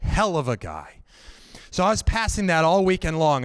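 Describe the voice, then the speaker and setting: In a plain, everyday voice with an American accent, the speaker talks at a moderate pace with lively intonation, on a very clean recording with a silent background. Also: man. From Northern Virginia. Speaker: solo show performer. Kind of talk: live storytelling. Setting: stage with audience.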